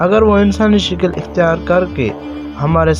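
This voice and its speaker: Music plays in the background as a man talks, his pitch swinging very widely. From Pakistan. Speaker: voice over artist. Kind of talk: religious story narration.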